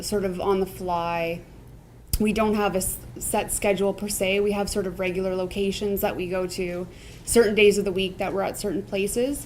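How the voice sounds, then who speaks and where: A woman with a Canadian accent speaks at a moderate pace and medium pitch. Her intonation is flat and monotone, with audible room echo. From Ontario, Canada (Niagara). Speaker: food truck owner. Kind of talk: interview.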